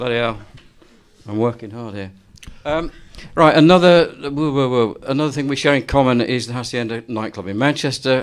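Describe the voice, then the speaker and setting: Here a man speaks in an ordinary speaking voice at a moderate pace. His pitch is medium, with ordinary pitch variation. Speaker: university design professor and event host. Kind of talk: interview questions on stage.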